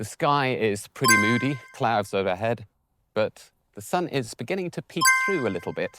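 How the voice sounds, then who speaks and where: With music in the background and a dry, close sound with no echo, a man with a British accent speaks at a medium pitch and a moderate pace in a relaxed tone with lively intonation. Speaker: English teacher. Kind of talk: casual walk-and-talk vlog narration. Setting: outdoors. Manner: natural, relaxed, unscripted.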